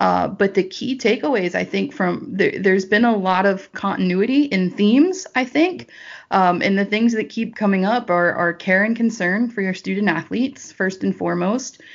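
A woman speaks at a medium pitch and a moderate pace, with hardly any pauses. Her pitch variation is ordinary. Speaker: college golf coach. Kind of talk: interview. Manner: animated.

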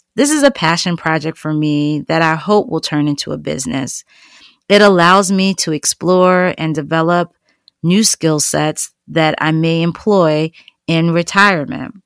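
An ordinary speaking voice with an American accent talks at a fairly slow pace, with ordinary pitch variation. The recording is very clean with a silent background, and the sound is dry and close with no echo. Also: woman. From New York City. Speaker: podcast host and teacher. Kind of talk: scripted narration.

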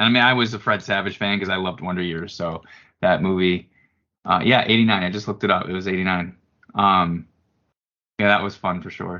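A man's very deep, low voice at a fairly quick pace, fairly even in intonation, broken by long, frequent pauses. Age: 40s. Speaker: apparel company president. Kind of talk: casual chat.

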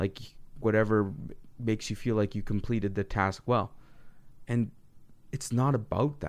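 The speaker keeps a moderate pace with fairly even intonation, broken by long, frequent pauses. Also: man, fairly low pitch for a man. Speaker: podcast co-host. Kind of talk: casual chat.

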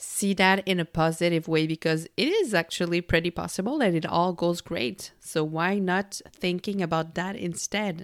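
A woman with a French Canadian accent talks at a moderate pace in a fairly low pitch. The sound is dry and close with no echo, and the recording is very clean with a silent background. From Quebec. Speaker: podcast host, employee engagement consultant. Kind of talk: solo self-help monologue.

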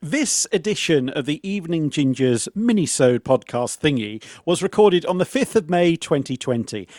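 A man's English-accented voice at a moderate pace, with very wide pitch swings, hardly any pauses and a dry, close sound with no echo. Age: 40s. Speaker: podcast co-host, quiz contestant. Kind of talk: casual chat. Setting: video call.

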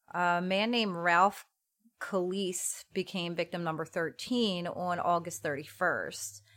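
A woman with a plain, everyday voice speaks at a fairly slow pace, her pitch fairly low with ordinary variation, on a very clean recording with a silent background. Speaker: true crime podcast host. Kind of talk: true-crime narration with casual chat.

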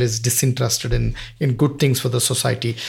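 Somewhat breathy, a man with a Kannada accent speaks at a very fast pace. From Karnataka, southern India. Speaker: wildlife conservationist. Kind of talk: interview.

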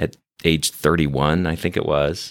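A man with vocal fry speaks at a fairly slow pace in a very clean recording with a silent background. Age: 50s. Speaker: physician and hospital leader. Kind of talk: interview storytelling.

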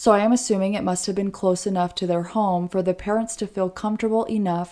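A woman with an ordinary speaking voice talks in a medium pitch at a moderate pace with fairly even intonation, on a very clean recording with a silent background. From Oregon, US. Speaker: true crime podcast co-host. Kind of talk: casual true crime narration.

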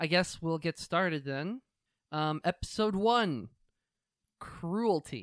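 Speaking very slowly with long, frequent pauses, a man uses a high-pitched voice and lively intonation with an American accent. The sound is dry and close, with no echo. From United States. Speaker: podcast co-host. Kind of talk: casual chat.

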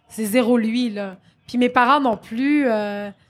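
At a very slow pace, a woman talks with fairly high pitch and ordinary pitch variation. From Quebec, Saint-Jean-sur-Richelieu. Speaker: comedian and actress. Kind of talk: interview. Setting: live stage at comedy festival. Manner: loud.

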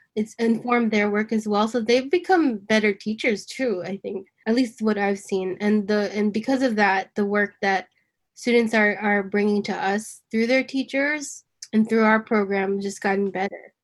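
A woman's medium-pitched, normal speaking voice at a moderate pace, with fairly even intonation and big swings in loudness. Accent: American. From New York, US. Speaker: nonprofit creative director. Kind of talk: casual conversation.

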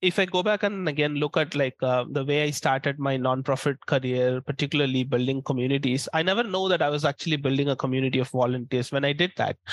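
In an Indian accent, a man talks at a fairly quick pace and very even loudness, his fairly high pitch showing ordinary variation. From India, small town. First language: Indian language. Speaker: community manager. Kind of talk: interview. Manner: hesitant, many fillers.

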